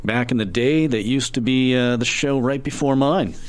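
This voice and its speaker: A plain, everyday voice from a man, at a moderate pace and a medium pitch. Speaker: radio DJ. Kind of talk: radio DJ patter, a live campus-radio show with fund-drive pitches and song rundowns. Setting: studio. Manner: laid-back and rambling, peppered with ums and uhs, wry and self-deprecating; conversational, plain-spoken, a little absent-minded and joking around.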